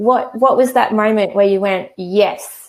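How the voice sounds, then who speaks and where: The speaker has an Australian accent and talks at a moderate pace. Pitch varies in an ordinary way. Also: woman. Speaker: e-commerce trainer; host of a live chat. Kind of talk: live webinar tutorial. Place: home room. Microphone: earbuds.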